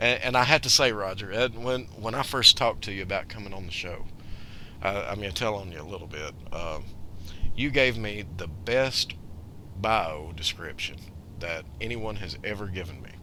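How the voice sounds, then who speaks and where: A man with a Southern US accent, fairly low-pitched with a bright, sharp tone, at a moderate pace, his loudness swinging widely amid audible room echo. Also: ordinary pitch variation. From US South. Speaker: radio show host. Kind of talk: casual radio interview.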